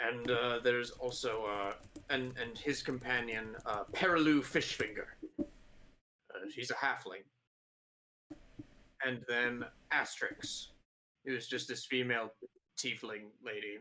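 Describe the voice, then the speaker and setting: This put-on character voice is raspy and moves at a moderate pace with ordinary pitch variation. Loudness swings widely, and long pauses come often. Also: man. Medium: actual play. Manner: casual, hesitant, filled with ums.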